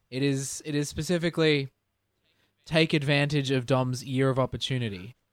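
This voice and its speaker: A man with a normal speaking voice talks at a fairly high pitch and moderate pace with fairly even intonation, the very clean recording dry and close with no echo and a silent background. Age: 20s. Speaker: podcast co-host. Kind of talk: casual chat.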